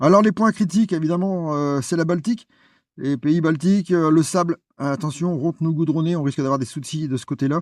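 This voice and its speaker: The delivery is fairly quick, with lively intonation. The sound is dry and close with no echo, over a quiet background. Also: man. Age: 60s. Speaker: vlogger, cycling adventurer. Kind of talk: vlog presentation. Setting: outdoors in a forest. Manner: halting, many hesitations.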